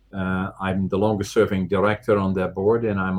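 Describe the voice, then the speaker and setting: With a Dutch accent, a man speaks at a fairly low pitch in a monotone, flat intonation. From Netherlands. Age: 70s. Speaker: business owner and bodybuilder. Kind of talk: interview. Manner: halting.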